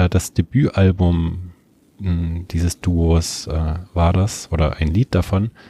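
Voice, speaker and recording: A man talks at a very slow pace in a very deep, low pitch, somewhat breathy, with a dark, mellow tone. The sound is dry and close, with no echo. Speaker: community radio music show co-host. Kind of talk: casual chat about music.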